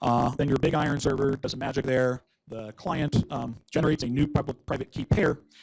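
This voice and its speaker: A man with an American accent talks in a somewhat breathy voice. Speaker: conference speaker. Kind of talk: conference talk. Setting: stage with audience. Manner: fast; frequent filler words and repetitions.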